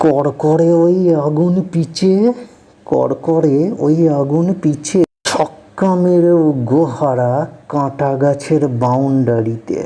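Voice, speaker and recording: A woman speaks with a very deep, low pitch, ordinary pitch variation, and very even loudness throughout. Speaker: poet. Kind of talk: poetry reading.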